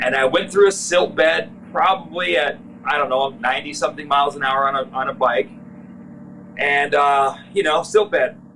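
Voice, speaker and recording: Against noticeable background noise, a man with an American accent speaks in a fairly high pitch. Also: lively intonation, moderate pace. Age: 40s. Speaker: off-road parts business owner. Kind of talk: interview.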